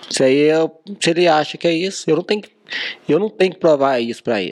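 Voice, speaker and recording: Pausing long and often, a man speaks at a fairly high pitch with ordinary pitch variation. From Brazil, Minas Gerais. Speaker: car dealer and social media influencer. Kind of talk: casual chat.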